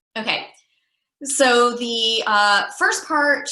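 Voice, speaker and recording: A woman speaks with ordinary pitch variation. The room echo is audible. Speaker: youth program trainer. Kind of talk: online training presentation.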